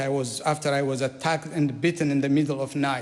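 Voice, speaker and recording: At a moderate pace, a man with an Eritrean accent speaks in a fairly high pitch. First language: Saho. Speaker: politician. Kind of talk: formal speech. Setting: parliament chamber.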